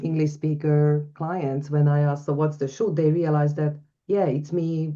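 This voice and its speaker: With a non-native accent, a woman speaks in a very deep, low voice with a dark, mellow tone and monotone, flat intonation. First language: not English. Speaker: coach. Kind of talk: webinar Q&A discussion.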